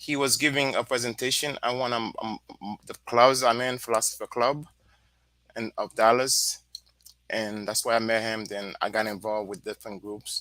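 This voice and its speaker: A man's medium-pitched voice with a Haitian accent, bright and sharp in tone, fairly even in intonation, at a moderate pace, in a dry, close sound with no echo. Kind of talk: casual panel discussion.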